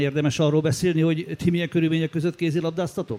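A man with a fairly high pitch talks at a very fast pace and fairly even intonation, recorded very cleanly against a silent background with a dry, close sound and no echo. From Transylvania, Romania. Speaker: sports journalist. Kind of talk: interview. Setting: stage with audience.

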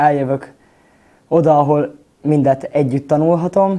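A man's dark, mellow tone, fairly high in pitch, with fairly even intonation. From Vojvodina, Serbia (Temerin). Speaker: acting student. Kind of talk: interview.

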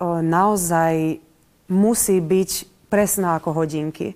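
A woman speaks at a very slow pace with a dark, mellow tone and fairly even intonation. The recording is very clean, with a silent background. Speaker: theatre director. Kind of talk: interview.

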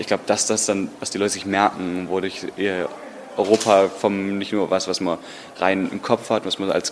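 Over noticeable background noise, a man talks at a moderate pace in a fairly low voice. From Germany, Stuttgart. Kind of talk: interview.

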